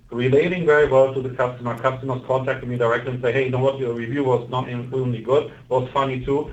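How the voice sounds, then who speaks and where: A somewhat breathy male voice of medium pitch, monotone with flat intonation. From Germany. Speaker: car reviewer and salesperson. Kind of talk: panel discussion.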